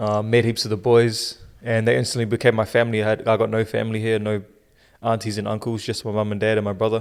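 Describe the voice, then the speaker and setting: Delivered at a very fast pace, a man's fairly low voice has a New Zealand accent. His intonation is monotone and flat. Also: very clean recording, silent background. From New Zealand (Auckland), born in South Africa. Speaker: podcast co-host. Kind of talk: casual chat.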